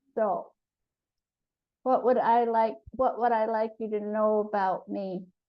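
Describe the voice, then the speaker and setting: The speaker talks at a fairly slow pace in a monotone, flat delivery, with long, frequent pauses. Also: woman, fairly high pitch for a woman. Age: 70s. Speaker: spiritual group participant. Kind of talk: group sharing, personal introduction.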